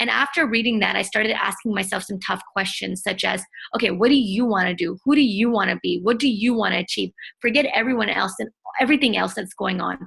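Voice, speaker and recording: Her pace is fairly quick, with ordinary pitch variation and a medium pitch. This woman's voice has vocal fry. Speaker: entrepreneur and self-help blogger. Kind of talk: interview. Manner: loud.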